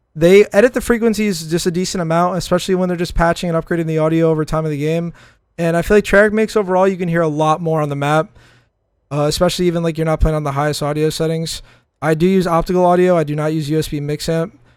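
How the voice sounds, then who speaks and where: On a very clean recording with a silent background, a man talks at a very fast pace in a high pitch with an animated tone. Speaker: gaming streamer. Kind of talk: tutorial. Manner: casual, animated.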